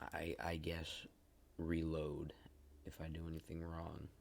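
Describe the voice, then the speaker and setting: A man's very deep, low voice at a fairly slow pace. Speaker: gaming video creator. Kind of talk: let's play commentary. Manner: monotone; hesitant, many fillers.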